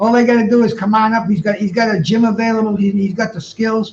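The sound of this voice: Fast and high-pitched, a man talks with vocal fry and fairly even intonation.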